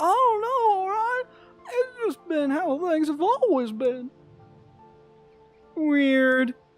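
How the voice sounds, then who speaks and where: Faint music plays behind a man doing a put-on character voice at an extremely high pitch. He speaks at a very slow pace with very wide pitch swings. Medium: game stream.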